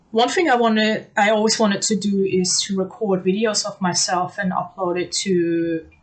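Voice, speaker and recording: Through noticeable background noise, a woman's voice comes across with fairly even intonation. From Germany. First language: German. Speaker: language learner giving testimonial. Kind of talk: testimony. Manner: frequent hesitations (um, uh).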